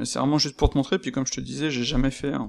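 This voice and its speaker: Against a silent background, a man's voice comes through on a very clean recording. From France. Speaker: freelance 3D artist. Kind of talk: casual screen-recorded software tutorial. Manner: casual, hesitant, many fillers.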